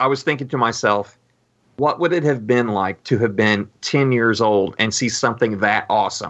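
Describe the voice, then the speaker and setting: Speaking with an unremarkable speaking voice, a man keeps a medium tempo and a normal amount of pitch movement. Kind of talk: casual chat.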